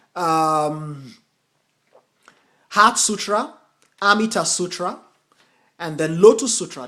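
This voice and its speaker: A man talks in a raised, projected voice with a high pitch and a bright, sharp tone. His intonation is lively. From US, Nigerian parents (Edo State). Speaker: Buddhist teacher and translator. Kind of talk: lecture. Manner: halting, many fillers.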